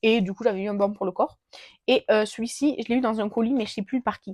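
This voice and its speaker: Fairly high-pitched woman at a fairly quick pace, with ordinary pitch variation and a dry, close sound with no echo. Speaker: beauty vlogger. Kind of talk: casual product review vlog. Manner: fast; hesitant, many filler sounds. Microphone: new gifted mic, unsure if working.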